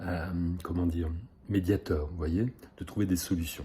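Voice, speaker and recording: A man speaks at a fairly slow pace in a very deep, low pitch with a dark, mellow, somewhat breathy tone. The recording is very clean, with a silent background. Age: 60s. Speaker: psychosomatic therapist. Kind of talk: self-presentation video. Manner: hesitant, many filler sounds.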